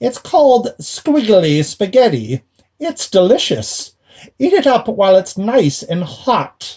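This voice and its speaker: In a put-on character voice, a man speaks with a high pitch and very wide pitch swings. The pace is fairly slow. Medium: read story. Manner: sly, gloating.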